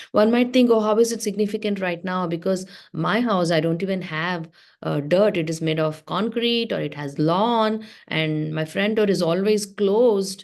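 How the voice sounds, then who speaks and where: A woman at a medium pitch and moderate pace, with ordinary pitch variation, against a quiet background. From South India (Telugu-speaking). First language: Telugu. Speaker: religious teacher. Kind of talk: class for teens.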